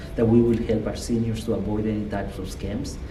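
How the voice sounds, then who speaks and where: A man's fairly low voice with a Guatemalan accent, amid noticeable background noise and audible room echo. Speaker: state politician. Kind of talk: interview.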